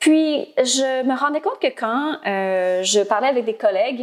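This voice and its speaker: A woman speaks fairly slowly with a high pitch and lively intonation. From Ontario, Canada (Franco-Ontarian). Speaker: speech-language pathologist and platform founder. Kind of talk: interview. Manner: hesitant, many filler words.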